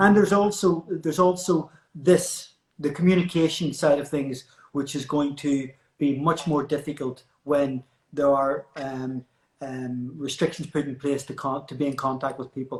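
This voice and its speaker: Speaking at a moderate pace with ordinary pitch variation, a man with a Northern Irish accent has a fairly high pitch. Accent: Northern Irish (Belfast). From Belfast, Northern Ireland. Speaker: hairdresser and interview host. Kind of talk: casual interview chat. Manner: hesitant, repeats words.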